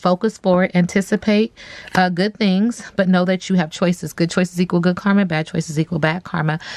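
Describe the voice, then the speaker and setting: At a fairly quick pace, a woman speaks in a medium pitch with fairly even intonation and very even loudness, the sound dry and close with no echo. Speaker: tarot reader. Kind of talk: tarot reading monologue. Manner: fast.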